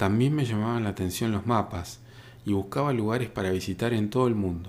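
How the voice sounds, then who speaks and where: An unremarkable speaking voice. Its pitch varies in an ordinary way. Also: man. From Argentina, northern Patagonia (Río Negro). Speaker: photographer and podcaster. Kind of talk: scripted narration.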